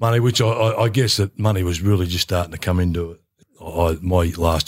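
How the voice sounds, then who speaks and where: Talking at a fairly quick pace, a man with an Australian accent has a very deep, low voice and ordinary pitch variation. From rural Victoria, Australia. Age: 70s. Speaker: former footballer. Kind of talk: casual interview chat.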